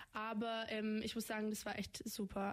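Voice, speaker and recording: Over noticeable background noise, a woman with a fairly high voice speaks at a moderate pace. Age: young (18). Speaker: federal volunteer service participant. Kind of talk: radio interview. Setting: radio studio.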